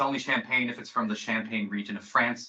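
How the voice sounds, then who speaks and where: A man with an American accent talks at a very fast pace, his pitch varying in an ordinary way. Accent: sounds American. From Belgium. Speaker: sales manager. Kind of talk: presentation.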